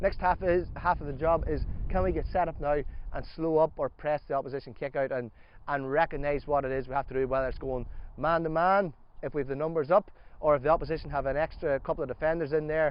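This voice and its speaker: In an Irish accent, a man talks at a very fast pace with a fairly high pitch and fairly even intonation. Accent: regional Irish accent, noticeable. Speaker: gaelic football coach. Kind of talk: coaching workshop.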